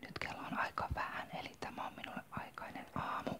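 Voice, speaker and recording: A woman is whispering at a fairly slow pace. There is noticeable background noise. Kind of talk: ASMR whispered talk about makeup. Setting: home, morning coffee. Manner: whispered, soft-spoken.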